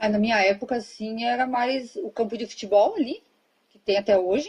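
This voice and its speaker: This woman has an ordinary speaking voice with a fairly high pitch. She moves at a moderate pace with ordinary pitch variation. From southern Brazil, Rio Grande do Sul. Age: 30s. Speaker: interview guest. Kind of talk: casual interview.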